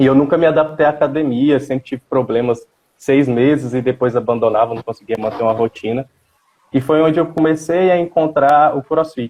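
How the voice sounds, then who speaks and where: This man's voice is fairly high in pitch, with ordinary pitch variation. He talks at a fairly quick pace. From Goiás, Brazil (Itapuranga). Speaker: dentist and CrossFit athlete. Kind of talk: live-stream interview.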